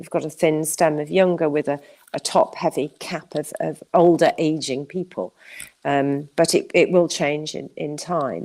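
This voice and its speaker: Over a very clean recording with a silent background, a woman speaks at a fairly slow pace in a very deep, low pitch, with a dark, mellow tone, vocal fry and big swings in loudness. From Wales. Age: 60s. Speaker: farming campaigner. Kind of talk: interview.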